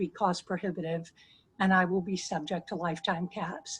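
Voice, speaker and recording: A woman with a medium pitch and a somewhat breathy voice speaks against a quiet background. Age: 60s. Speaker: constituent sharing health story. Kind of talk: testimony. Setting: video call.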